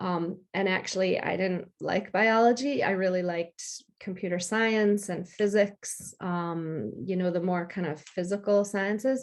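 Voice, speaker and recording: A woman with an American accent talks in a normal speaking voice, medium in pitch with ordinary pitch variation. Her pace is fairly slow with hardly any pauses, against a quiet background. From US, upstate New York. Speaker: freelance technology communicator. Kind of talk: interview.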